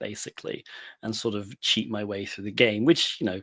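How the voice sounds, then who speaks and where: In a British accent, a man speaks flatly and monotonously at a fairly low pitch on a very clean recording with a silent background. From UK. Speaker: penetration tester. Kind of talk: career story talk.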